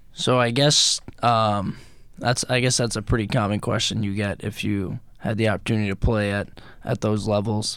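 With an American accent, a man talks at a moderate pace in a fairly low, monotone, flat voice on a very clean recording with a silent background. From Rockaway, Queens, New York. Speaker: professional hockey player. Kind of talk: radio interview. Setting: radio studio.

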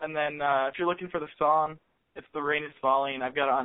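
A man with an American accent has a fairly high pitch and fairly even intonation. He has an unremarkable speaking voice. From US Midwest, Columbus, Ohio. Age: 20s. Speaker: musician. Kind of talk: casual chat. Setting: phone call.

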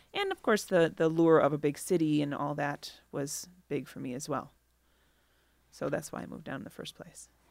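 Using an American accent, a woman with a very deep, low voice and vocal fry speaks at a moderate pace, her loudness swinging widely. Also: ordinary pitch variation. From Milwaukee, Wisconsin (east side). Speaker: artist and graphic designer. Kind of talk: casual interview.

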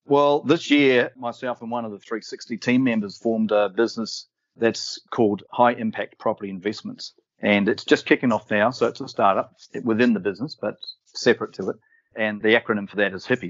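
With an Australian accent, a man of medium pitch speaks at a fairly quick pace, his intonation fairly even but his loudness swinging widely. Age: 50s. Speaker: property developer. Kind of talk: interview.

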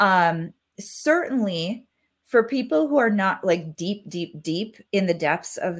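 A woman's plain, everyday voice at a medium pitch, with lively intonation and an American accent, in a very clean recording against a silent background. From Wisconsin, US Midwest. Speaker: mindset coach and hypnotherapist. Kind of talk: podcast interview.

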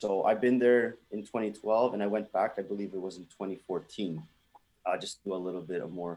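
A man speaks with a dark, mellow tone and fairly low pitch. His intonation is fairly even, but his loudness swings widely. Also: moderate pace. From Toronto, Canada. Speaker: band musician. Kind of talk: interview.

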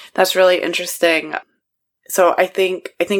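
Speaking at a moderate pace, a woman has an unremarkable speaking voice pitched fairly low. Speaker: podcast host. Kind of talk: interview.

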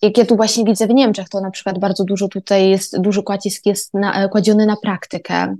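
With hardly any pauses, a woman talks at a medium pitch in a flat, monotone delivery. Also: fairly quick pace. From Poland, Koszalin (Pomerania). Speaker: university student. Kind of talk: podcast monologue.

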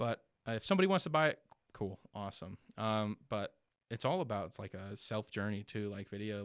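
A man with an American accent speaks at a fairly low pitch. The sound is dry and close with no echo, on a very clean recording with a silent background. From Florida (Ocala area). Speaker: videographer and business owner. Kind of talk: interview. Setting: studio.

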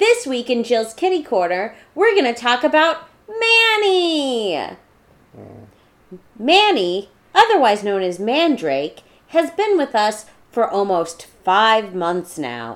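A woman uses a put-on character voice with high pitch. She speaks at a fairly slow pace. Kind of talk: formal news-presenter delivery.

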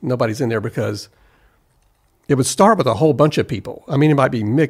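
A man with an American accent and a plain, everyday voice talks at a medium pitch with ordinary pitch variation. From US South, South Carolina. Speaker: recording engineer. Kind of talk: casual chat. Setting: studio.

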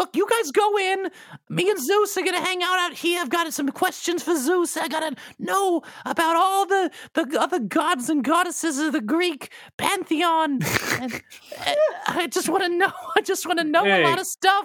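Someone uses a put-on character voice at an extremely high pitch, moving at a moderate pace. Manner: eager, rambling, starstruck.

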